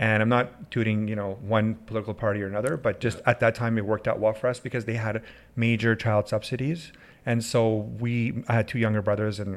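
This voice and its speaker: A man's ordinary speaking voice with a Canadian accent, medium in pitch, fairly even in intonation and at a fairly quick pace, on a very clean recording with a silent background. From Canadian prairies (Winnipeg, Edmonton), born in Iran. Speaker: family doctor. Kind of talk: casual interview.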